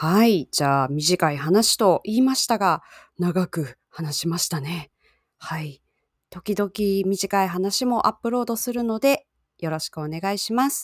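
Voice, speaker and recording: On a very clean recording with a silent background, a woman talks fairly slowly at a medium pitch in an unremarkable speaking voice. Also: lively intonation, dry, close sound with no echo. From Japan. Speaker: Japanese language teacher podcaster. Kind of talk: language-learning podcast monologue. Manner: slow, simple learner-friendly speech.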